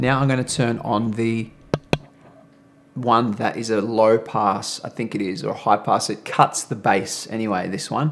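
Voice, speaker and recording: Against noticeable background noise, a man talks at a moderate pace with medium pitch and fairly even intonation. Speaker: video creator reviewing audio gear. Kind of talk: tutorial. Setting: studio.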